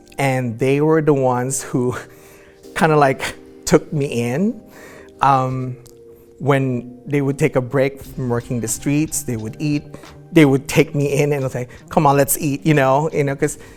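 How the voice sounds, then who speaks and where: A woman speaks at a fairly slow pace with long, frequent pauses and fairly even intonation. Her pitch is very deep and low, and music plays in the background. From Philippines. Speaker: transgender activist. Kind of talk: interview answer.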